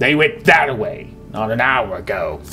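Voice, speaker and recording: Using a put-on character voice, a man speaks at a moderate pace over clear music in the background. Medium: game stream. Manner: upset, pleading.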